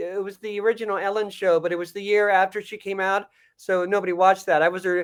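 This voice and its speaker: A man rattles along at a very fast pace. His pitch is high and his intonation monotone and flat. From Montreal, Canada. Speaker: comedian and voice actor. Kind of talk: podcast interview answer. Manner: hesitant, rambling.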